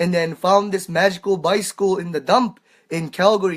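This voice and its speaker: A man with a Japanese accent talks at a moderate pace in a high pitch. The recording is very clean, with a silent background. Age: 20s. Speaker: world traveller. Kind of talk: interview. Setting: livestream in a cabin. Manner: halting, many fillers.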